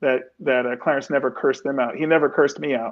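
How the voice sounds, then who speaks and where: A man's fairly high voice, a normal speaking voice with fairly even intonation. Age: 60s. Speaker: entertainment executive and sports team owner. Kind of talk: interview.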